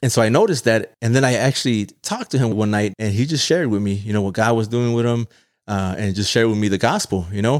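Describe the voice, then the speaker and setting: Over a silent background in a very clean recording, a man with an American accent talks at a very fast pace. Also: medium pitch for a man, ordinary pitch variation. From Chicago, Little Village. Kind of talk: interview testimony. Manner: halting.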